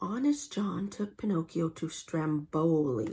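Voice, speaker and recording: Somewhat breathy and dark, mellow in tone, a woman speaks at a fairly low pitch and fairly slow pace with lively intonation. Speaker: storybook reader for kids. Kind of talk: children's storybook read-aloud. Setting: reading aloud from a printed book, showing pictures. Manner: friendly, engaging, addressing children.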